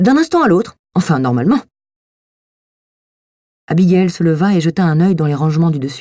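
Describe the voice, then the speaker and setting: Her tone dark and mellow, a woman speaks at a moderate pace with fairly low pitch, lively intonation, and long, frequent pauses. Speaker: voice actor. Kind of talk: audiobook reading.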